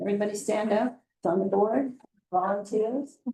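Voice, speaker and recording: Speaking at a fairly slow pace, a woman has a medium pitch with ordinary pitch variation. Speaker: chamber of commerce director. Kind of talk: public presentation. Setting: city council meeting.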